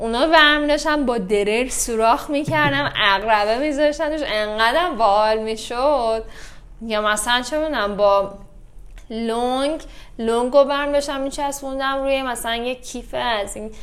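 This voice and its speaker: With audible room echo, a woman talks at a high pitch and with ordinary pitch variation. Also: moderate pace. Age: 30s. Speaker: yoga instructor. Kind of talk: casual chat.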